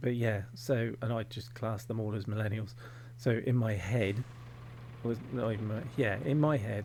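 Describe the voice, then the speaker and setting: With audible room echo around him, a man talks at a moderate pace in a medium pitch, somewhat breathy, with fairly even intonation. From England, Devon. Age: 40s. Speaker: gaming youtuber. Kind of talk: casual gameplay commentary. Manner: rambling, hesitant with many fillers.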